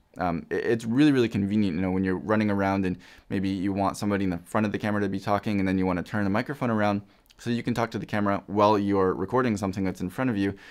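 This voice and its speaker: Against a quiet background, the speech runs very fast with fairly even intonation. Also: man, fairly low pitch for a man. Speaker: product reviewer. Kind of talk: product review talk. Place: studio.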